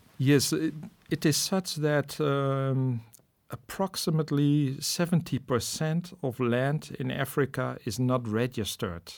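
Using ordinary pitch variation, a man talks at a fairly slow pace. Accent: Dutch. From Netherlands. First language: Dutch. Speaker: professor. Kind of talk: interview. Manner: hesitant, many fillers.

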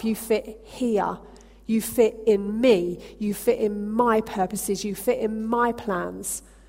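A woman puts on a character voice, loud and booming, at a fairly high pitch. She speaks at a fairly slow pace. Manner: reassuring, emphatic.

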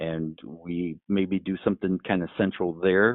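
Here a man has an unremarkable speaking voice with ordinary pitch variation. He goes at a fairly slow pace. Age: 40s. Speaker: speechwriter and podcaster. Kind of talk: casual chat.

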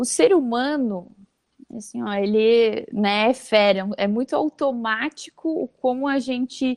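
The sound is dry and close, with no echo. A woman talks in a high voice with ordinary pitch variation. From Brazil, Santa Catarina (Vale do Itajaí). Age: 20s. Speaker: HR manager. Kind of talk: interview, explaining a communication technique.

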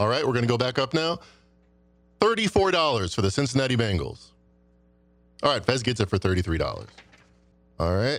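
Using a medium pitch with vocal fry, a man talks at a fairly quick pace with very wide pitch swings, very even loudness and long, frequent pauses. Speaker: sports betting panelist. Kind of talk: casual roundtable chat.

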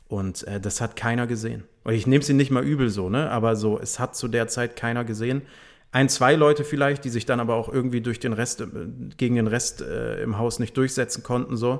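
A man at medium pitch with fairly even intonation. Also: fairly quick pace. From northern Germany, Bremen. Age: 30s. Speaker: music label manager. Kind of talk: casual chat.

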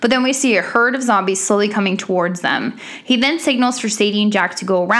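The pitch shows ordinary variation. This is reading aloud in a natural voice.

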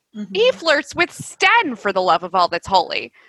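A woman projects a raised voice with a bright, sharp tone. She keeps a moderate pace, and the sound is dry and close with no echo. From US South. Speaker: podcast co-host. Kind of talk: casual chat.

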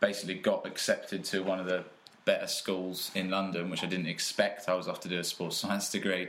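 Noticeable noise sits behind the recording. The man talks fairly quickly. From England (Peterborough), partly raised in Australia. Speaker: personal trainer. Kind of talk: casual chat.

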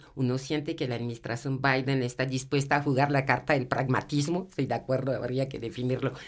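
Her very deep, low voice stays monotone and flat as the woman talks at a fairly quick pace. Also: hardly any pauses. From abroad, not Colombia. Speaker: university professor. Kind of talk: panel discussion.

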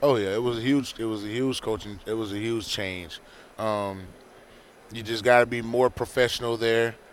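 A man with medium pitch speaks at a moderate pace in a monotone, flat intonation. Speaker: former NFL player. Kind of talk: casual interview. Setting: radio row event.

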